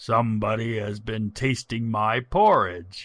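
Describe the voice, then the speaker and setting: Growling in a cartoonish character voice, a man speaks at a fairly slow pace and medium pitch in a very clean recording with a silent background. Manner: grumbling.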